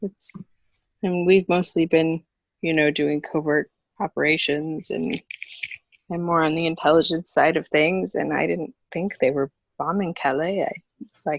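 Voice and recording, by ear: Putting on a character voice, a woman speaks fairly slowly at a low pitch, with vocal fry and fairly even intonation. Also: dry, close sound with no echo.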